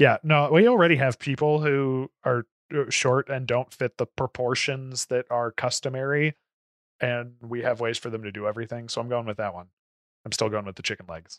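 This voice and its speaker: In a dry, close sound with no echo and a quiet background, a man with an American accent talks at a moderate pace and medium pitch with ordinary variation. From Florida, US South. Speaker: podcast co-host. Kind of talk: casual chat. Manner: loud.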